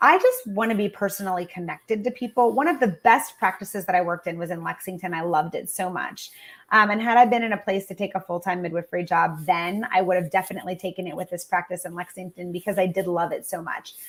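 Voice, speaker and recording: A woman talks at a very fast pace with big swings in loudness. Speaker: nurse midwife. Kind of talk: live-streamed interview.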